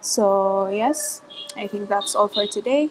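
At a fairly slow pace, a woman speaks with an ordinary speaking voice, medium pitch, and ordinary pitch variation. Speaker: meeting facilitator. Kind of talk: online team standup meeting. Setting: video call.

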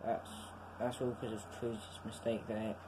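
Background noise is clearly audible. The talking proceeds at a moderate pace. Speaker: gamer commenting on his match. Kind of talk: casual game commentary. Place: home room. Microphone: phone near.

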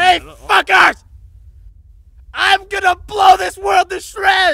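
Shouting at an extremely high pitch, a man is heard. He speaks at a very slow pace. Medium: machinima. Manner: whiny, hot-headed, shouting.

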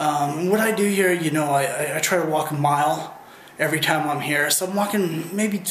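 A man speaks at a fairly slow pace. Light background noise and audible room echo sit around his voice. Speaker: weight loss vlogger. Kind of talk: casual vlog chat. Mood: earnest, encouraging.

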